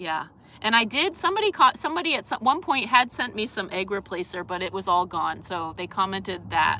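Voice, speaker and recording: Bright and sharp in tone, a woman with an East Coast US accent talks at a moderate pace and medium pitch. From US East Coast. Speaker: vlogger. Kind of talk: casual live stream chat. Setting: live stream. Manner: halting, many fillers and restarts.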